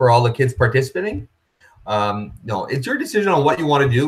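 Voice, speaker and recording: A man's somewhat breathy voice at a medium pitch. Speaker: running association organizer. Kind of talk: webinar presentation. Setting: live video webinar. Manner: fast.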